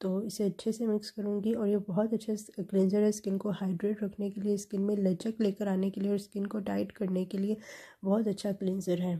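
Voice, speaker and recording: On a very clean recording with a silent background, a woman with a medium pitch and a dark, mellow tone sounds somewhat breathy, speaking in a monotone, flat way with hardly any pauses. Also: moderate pace. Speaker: lifestyle vlogger. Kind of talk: vlog voice-over narration.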